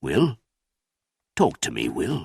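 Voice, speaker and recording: A man does a raspy put-on character voice, recorded with a dry, close sound and no echo. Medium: read story.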